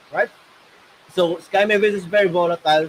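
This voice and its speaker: A man's loud, high-pitched voice, fairly even in intonation, with a dry, close sound and no echo. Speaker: gaming guild manager. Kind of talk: livestream Q&A.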